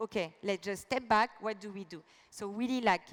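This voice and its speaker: In a French accent, a woman speaks at a fairly slow pace and medium pitch with ordinary pitch variation, in a dry, close sound with no echo. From France. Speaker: business executive. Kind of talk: keynote speech.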